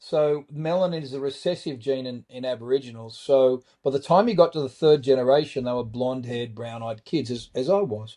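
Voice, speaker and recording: Speaking with an Australian accent, a man moves at a fairly quick pace with hardly any pauses and big swings in loudness. His medium-pitched voice has a dark, mellow tone and ordinary pitch variation. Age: 60s. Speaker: trauma survivor and author. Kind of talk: podcast interview.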